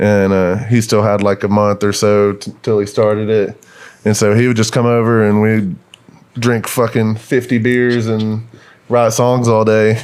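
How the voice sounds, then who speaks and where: A man talks fairly slowly in a fairly low, monotone voice with flat intonation. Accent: Texas. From northeast Texas. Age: 20s. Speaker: country musician. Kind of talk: casual chat.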